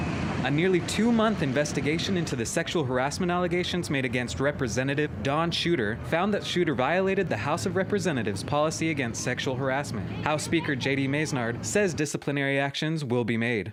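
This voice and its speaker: A fairly high-pitched man at a fairly quick pace, hardly any pauses, lively intonation and very even loudness, over noticeable background noise. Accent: American. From Arizona. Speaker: journalist. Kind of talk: TV news report.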